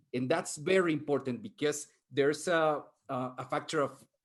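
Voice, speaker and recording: A man is talking. He has a Spanish accent. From Mexico. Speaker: professor, futurist panelist. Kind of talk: panel discussion.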